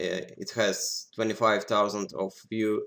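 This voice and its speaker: A man with a Russian accent speaks very slowly in a fairly low voice. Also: very clean recording, silent background. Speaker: poker software developer. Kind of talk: tutorial. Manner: halting.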